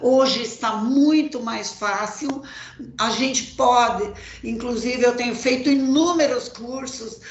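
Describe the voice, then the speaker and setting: A woman's high voice at a very slow pace with fairly even intonation, with audible room echo and noticeable background noise. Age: 60s. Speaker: farmer. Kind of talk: panel discussion.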